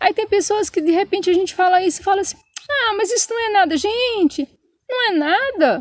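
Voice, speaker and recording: In a São Paulo accent, a woman speaks with an extremely high pitch, lively intonation and an animated tone. Her pace is fairly quick, and the sound is dry and close with no echo. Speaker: channel co-host with husband. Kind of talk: casual chat, personal story. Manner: animated, emotional.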